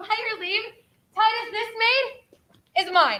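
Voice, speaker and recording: A woman's squeaky, put-on character voice, extremely high in pitch, with ordinary pitch variation and a fairly slow pace. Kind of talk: Shakespearean stage verse. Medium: stage play.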